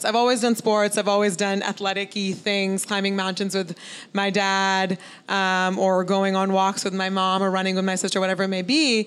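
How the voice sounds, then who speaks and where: A plain, everyday voice at a moderate pace, on a very clean recording with a silent background. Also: woman. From Oregon, US (Beaverton); Indian immigrant family. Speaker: venture capitalist. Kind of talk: live interview. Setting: live event with audience, streamed.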